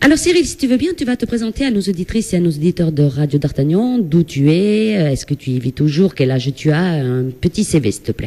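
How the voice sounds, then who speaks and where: Speaking in a southwestern French accent, a woman with a fairly low pitch and a dark, mellow tone moves at a fairly quick pace with very wide pitch swings and hardly any pauses. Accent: southwestern French (Gers), pronounced. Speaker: radio host. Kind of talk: live radio interview.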